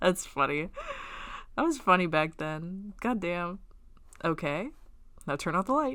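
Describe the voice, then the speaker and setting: In an American accent, a woman speaks at a fairly slow pace with long, frequent pauses. Her fairly low voice has a bright, sharp tone and lively intonation. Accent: Southern accent, slips out sometimes. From Texas. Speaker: webcomic artist. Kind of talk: casual read-along commentary. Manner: animated.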